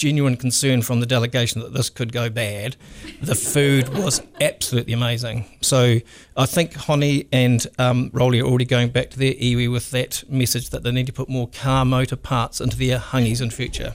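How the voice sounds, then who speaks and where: At a moderate pace, the voice runs in a flat monotone. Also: man. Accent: New Zealand. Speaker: economic development executive. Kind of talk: interview. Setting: studio.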